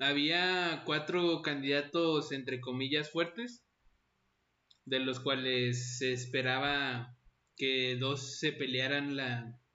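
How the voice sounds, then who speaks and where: A man talks very slowly, his voice fairly high-pitched and his intonation fairly even. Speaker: podcast host. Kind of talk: casual chat.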